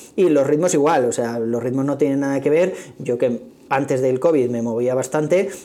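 At a moderate pace, a man with a fairly high pitch and a dark, mellow tone speaks with ordinary pitch variation. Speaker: running podcaster. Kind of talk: casual monologue. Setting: office meeting room.

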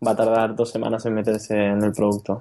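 In a Murcian accent, the voice has a dark, mellow tone against a quiet background. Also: man. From Spain, Murcia. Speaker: software developer. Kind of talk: interview.

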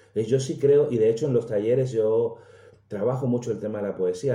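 A somewhat breathy voice carries a dark, mellow tone. Its pace is moderate and its pitch varies in an ordinary way. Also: man. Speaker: storyteller. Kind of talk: interview.

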